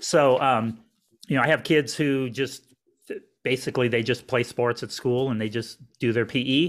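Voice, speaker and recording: A man with a medium pitch talks at a moderate pace with fairly even intonation. He takes long, frequent pauses on a very clean recording with a silent background. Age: 40s. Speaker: nutrition coach. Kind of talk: interview. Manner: halting, many fillers.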